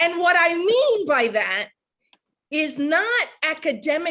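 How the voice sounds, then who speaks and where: A woman with a New York accent is heard on a very clean recording with a silent background. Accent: New York (Bronx). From New York, the Bronx. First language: Spanish. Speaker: professor. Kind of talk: book event interview; casual chat.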